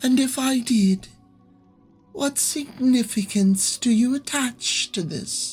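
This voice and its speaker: A put-on character voice, female-sounding and high-pitched, at a fairly slow pace over faint background music. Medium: read story. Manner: cryptic, teasing, formal.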